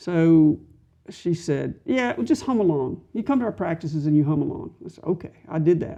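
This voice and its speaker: A woman with a dark, mellow tone, a fairly low pitch and lively intonation. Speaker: member of a community singing group. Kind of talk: interview conversation.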